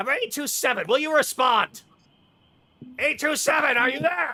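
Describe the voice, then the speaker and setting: Putting on a character voice, a man projects loudly at an extremely high pitch and a moderate pace. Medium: actual play. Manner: impatient, bossy.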